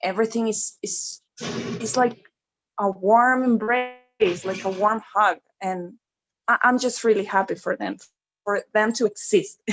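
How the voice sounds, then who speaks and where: Speaking at a fairly slow pace with long, frequent pauses, a woman in a Spanish accent uses a fairly high pitch and fairly even intonation. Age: 30s. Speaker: fan guest on livestream. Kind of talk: casual livestream chat.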